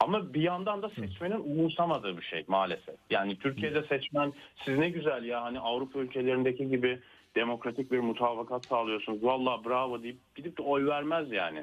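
A man speaks at a medium pitch and a fairly quick pace. His intonation is lively. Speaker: political scientist. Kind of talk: interview. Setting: remote call. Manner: hesitant, many fillers. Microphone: connection dropped.

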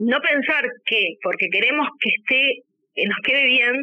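A woman's lively intonation at a fairly slow pace. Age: 40s. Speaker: lingerie brand founder. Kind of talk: interview.

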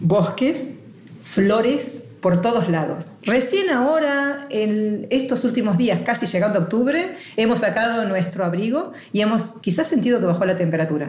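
Over noticeable background noise and audible room echo, a woman talks at a moderate pace with fairly high pitch, lively intonation and very even loudness. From Argentina. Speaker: travel blogger. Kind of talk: interview.

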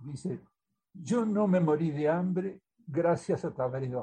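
The voice has a dark, mellow tone and lively intonation, delivered at a very slow pace. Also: man. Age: 80s+. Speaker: author. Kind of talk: interview.

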